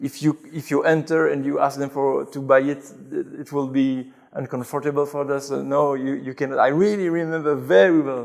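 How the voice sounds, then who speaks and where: With a French accent, this man talks at a moderate pace in a fairly high pitch and ordinary pitch variation. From Belgium, Brussels. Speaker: convert sharing his story. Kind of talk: interview testimony. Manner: halting, with many repetitions.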